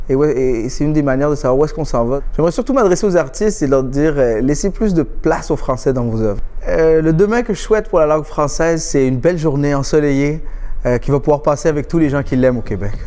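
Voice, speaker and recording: A man with a non-native accent talks at a very fast pace. His pitch is fairly high. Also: ordinary pitch variation. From Quebec. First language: not French (speaking French). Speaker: comedian. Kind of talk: interview testimony. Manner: halting, many fillers and restarts.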